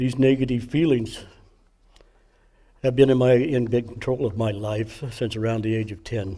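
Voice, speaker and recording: A man speaks at a moderate pace with fairly even intonation. His tone is dark and mellow, and somewhat breathy. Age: 70s. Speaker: recovery program member sharing testimony. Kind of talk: testimony. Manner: halting.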